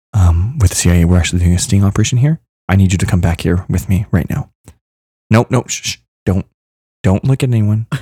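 His voice is fairly low, somewhat breathy and dark, mellow in tone, with ordinary pitch variation. The man talks at a very fast pace yet leaves long, frequent pauses. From Kentucky. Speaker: podcast co-host. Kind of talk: casual chat.

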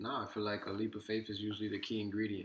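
A man's voice sits at a fairly low pitch with a bright, sharp tone. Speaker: podcast host. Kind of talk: casual interview.

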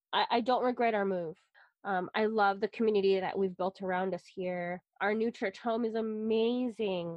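Using an unremarkable speaking voice, a woman with an American accent talks at a moderate pace and medium pitch with fairly even intonation. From US West Coast, San Francisco Bay Area. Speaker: podcast co-host. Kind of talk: casual chat.

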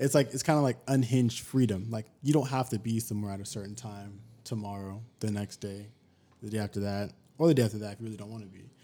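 In an American accent, the voice races at a very fast pace with a dark, mellow tone and big swings in loudness, recorded very cleanly over a silent background. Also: man, fairly low pitch for a man, ordinary pitch variation. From Sacramento, California. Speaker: podcast guest. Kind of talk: casual chat.

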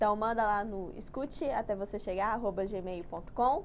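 The speaker is a woman with a medium-pitched voice. She talks very slowly. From Brazil, Minas Gerais (Betim). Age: 20s. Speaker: university student, podcast co-host. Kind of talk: casual chat.

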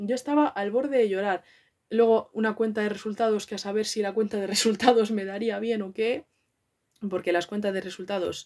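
A woman with a Madrid accent talks at a fairly high pitch and a fairly quick pace. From Madrid, Spain. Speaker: podcaster. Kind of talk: casual monologue. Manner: animated.

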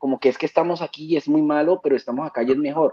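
A man talks with ordinary pitch variation. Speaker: vaping advocate. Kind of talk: panel discussion.

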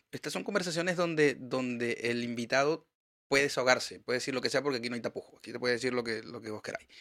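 A man's medium-pitched voice, bright and sharp in tone, with ordinary pitch variation and a very fast pace. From Venezuela, Maracaibo. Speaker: podcast host. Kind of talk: casual chat. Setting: studio.

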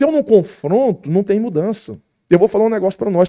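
A man speaks very fast with lively intonation and a dark, mellow tone. The sound is dry and close, with no echo. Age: 40s. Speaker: pastor. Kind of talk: podcast interview.

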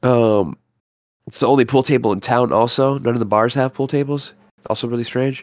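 Keeping his intonation fairly even, a man with an unremarkable speaking voice talks at a medium pitch and a fairly quick pace. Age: 30s. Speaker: healthcare worker. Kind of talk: casual chat.

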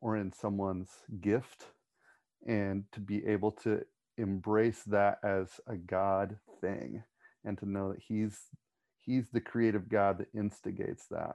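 Speaking at a fairly slow pace, the man has a fairly low pitch, a dark, mellow tone and monotone, flat intonation. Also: dry, close sound with no echo. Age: 40s. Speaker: church pastor. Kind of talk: casual panel discussion.

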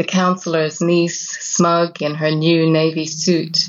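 A woman speaks in an Irish accent at a fairly low pitch. Her pace is very slow. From west of Ireland. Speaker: poet. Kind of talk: interview with poetry readings.

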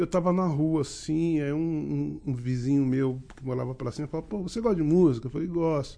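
With a dark, mellow tone and a fairly high pitch, a man speaks at a moderate pace with ordinary pitch variation and hardly any pauses. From Rio de Janeiro, Duque de Caxias. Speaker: musician. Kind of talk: casual chat.

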